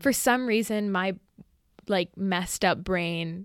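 In an unremarkable speaking voice with an American accent, the speaker talks at a fairly slow pace on a very clean recording with a silent background. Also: woman. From greater New York area. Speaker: college student. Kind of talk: casual chat.

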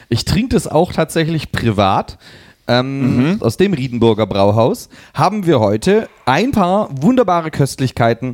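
His pitch swings very widely while his loudness stays very even. The man speaks at a fairly slow pace. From eastern Germany. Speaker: football podcast co-host. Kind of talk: casual chat.

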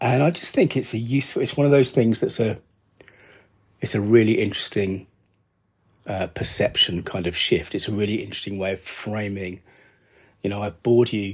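With an English accent, a man speaks at a fairly quick pace in a fairly low, somewhat breathy voice, with ordinary pitch variation and long, frequent pauses. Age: 50s. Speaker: podcast host, business storytelling consultant. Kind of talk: solo podcast monologue. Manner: casual, thinking aloud with fillers.

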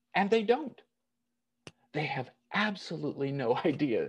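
With an American accent, a man speaks fairly slowly in a high voice with very wide pitch swings. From United States. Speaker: pastor. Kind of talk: sermon. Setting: online church service.

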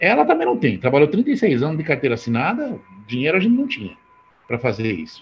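Very wide pitch swings from a man at a fairly quick pace, with music in the background. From rural Brazil. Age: 60s. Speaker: network marketing entrepreneur. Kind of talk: motivational talk.

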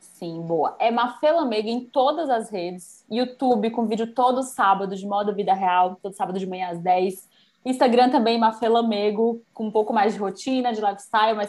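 A woman uses a normal speaking voice with a fairly high pitch and ordinary pitch variation. She keeps a moderate pace with hardly any pauses. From Bahia, Brazil. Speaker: fashion influencer and youtuber. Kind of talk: casual interview chat.

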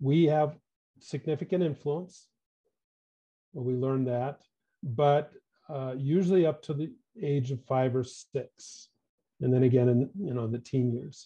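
Breathing somewhat audibly, a man with an American accent speaks fairly slowly with long, frequent pauses, his dark, mellow tone set at a fairly high pitch with ordinary pitch variation. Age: 60s. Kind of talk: interview conversation.

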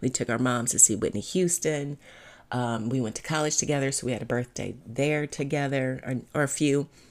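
A woman with a very deep, low voice speaks at a fairly quick pace, her pitch varying in an ordinary way. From US Midwest, Cleveland Ohio. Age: 50s. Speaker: mindset coach. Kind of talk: personal storytelling monologue.

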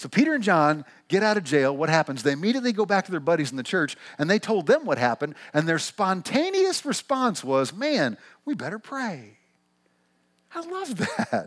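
An animated, warm tone with a Midwestern US accent, very wide pitch swings and a moderate pace. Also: man, high pitch for a man. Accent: Midwestern US with a slight twang. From Missouri, US Midwest. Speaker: pastor. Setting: church with live congregation. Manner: animated, warm, conversational.

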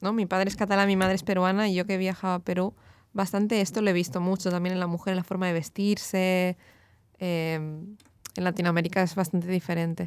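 A woman talks at a fairly quick pace and a medium pitch, her intonation monotone and flat and her loudness very even, in a very clean recording with a silent background. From Catalonia, Barcelona. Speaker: fashion designer and author. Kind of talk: interview.

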